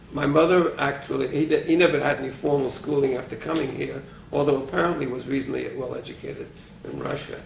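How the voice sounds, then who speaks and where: A man with a New York accent talks at a fairly quick pace amid noticeable background noise and audible room echo. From New York City, Brooklyn. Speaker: retired physics professor. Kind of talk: oral history interview. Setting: private apartment.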